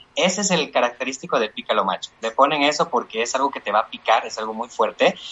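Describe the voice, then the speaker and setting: Over music in the background, a man talks at a fairly quick pace and medium pitch with lively intonation. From Bolivia, Chuquisaca valley, rural. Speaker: cooking content creator. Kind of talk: casual panel discussion.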